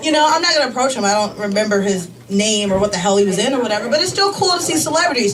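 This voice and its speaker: With noticeable background noise and audible room echo, a woman talks with very wide pitch swings. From US Midwest, Chicago. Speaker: comedian. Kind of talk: stand-up. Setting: stage with audience. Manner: casual, filler-heavy.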